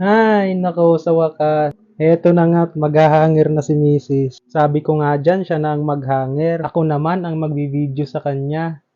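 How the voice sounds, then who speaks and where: A man speaks at a moderate pace with hardly any pauses. His pitch is fairly high and his intonation fairly even. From Visayas, Philippines. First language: Cebuano (speaking Tagalog). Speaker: vlogger. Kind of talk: vlog narration.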